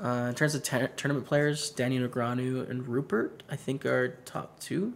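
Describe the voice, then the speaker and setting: The delivery has a moderate pace and an unremarkable speaking voice. Its intonation remains fairly even. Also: man, medium pitch for a man. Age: 20s. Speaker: poker streamer. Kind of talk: live stream commentary with chat. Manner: casual, conversational.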